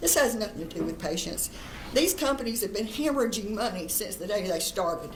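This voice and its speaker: A woman at medium pitch and a fairly quick pace with lively intonation, amid noticeable background noise and audible room echo. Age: 70s. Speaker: cannabis industry advocate. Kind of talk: public testimony.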